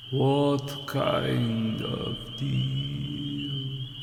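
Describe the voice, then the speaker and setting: A man puts on a raspy character voice at a medium pitch. There is clear background noise and a slight echo. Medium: read story. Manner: terse, grim.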